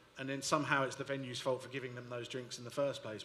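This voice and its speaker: Against noticeable background noise, a man of medium pitch speaks in a strong London accent with monotone, flat intonation. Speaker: panelist. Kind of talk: panel discussion.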